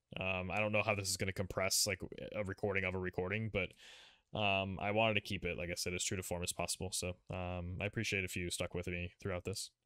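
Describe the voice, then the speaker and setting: Bright and sharp in tone, the voice rushes at a very fast pace with monotone, flat intonation, in a dry, close, echo-free, very clean recording with a silent background. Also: man, very deep, low pitch for a man. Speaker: podcast host. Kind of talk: casual chat.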